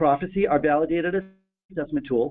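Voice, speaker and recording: Speaking at a very fast pace, a man's fairly high voice moves with ordinary pitch variation. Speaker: webinar host. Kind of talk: webinar presentation. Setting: online webinar.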